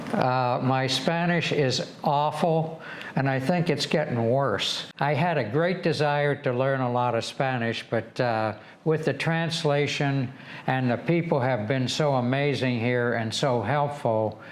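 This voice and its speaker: This man talks with an Upper Midwest accent at a fairly slow pace. His pitch is medium and his loudness stays very even. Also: ordinary pitch variation. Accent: Upper Midwest American. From Michigan, USA. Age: 80s+. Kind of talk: interview answer.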